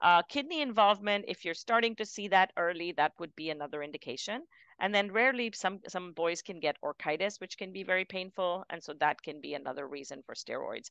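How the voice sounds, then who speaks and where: A woman of medium pitch with lively intonation and big swings in loudness, talking at a fairly quick pace with hardly any pauses against a quiet background. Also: dry, close sound with no echo. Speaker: pediatric rheumatologist lecturing. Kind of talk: lecture. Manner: fast; many filler words.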